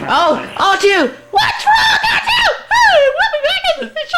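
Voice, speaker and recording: A shouted, put-on character voice at an extremely high pitch and a fairly slow pace, with loud background noise. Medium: fan dub. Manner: fretful, whiny.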